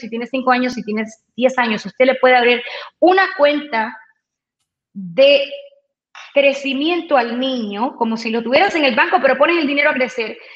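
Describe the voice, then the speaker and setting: At a fairly quick pace, a woman speaks with a high pitch and ordinary pitch variation. Long, frequent pauses break up her speech. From Cuba. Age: 40s. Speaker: radio personality and insurance saleswoman. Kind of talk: interview. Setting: video call from home.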